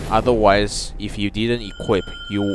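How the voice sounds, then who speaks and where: Noticeable background noise sits behind a man who speaks at a moderate pace. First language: not English. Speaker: gaming YouTuber. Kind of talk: gameplay walkthrough commentary. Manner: halting, with fillers.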